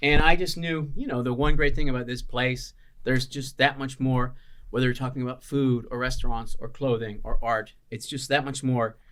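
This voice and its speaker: A man with a Chicago accent, medium pitch, fairly even intonation, and a moderate pace. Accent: Chicago American English. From Chicago, US Midwest. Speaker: chef and restaurant owner. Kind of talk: podcast interview. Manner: casual, many filler words.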